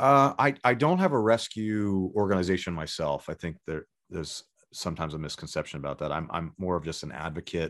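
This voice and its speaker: Against a quiet background, a man with a Californian accent and a very deep, low voice speaks at a fairly quick pace with lively intonation. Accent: Californian American English. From Los Angeles, Southern California. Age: 30s. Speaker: rock guitarist. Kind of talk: casual chat.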